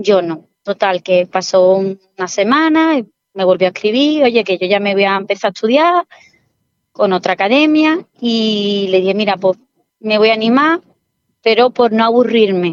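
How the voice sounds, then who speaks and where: At a fairly slow pace, a woman talks in a normal speaking voice, the sound dry and close with no echo. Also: medium pitch for a woman, lively intonation. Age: 40s. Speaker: civil servant, former exam candidate. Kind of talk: interview testimony.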